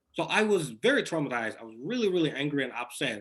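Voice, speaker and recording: A man speaks with a Somali accent. His pace is very fast. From Somalia. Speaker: author. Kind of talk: interview. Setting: video call.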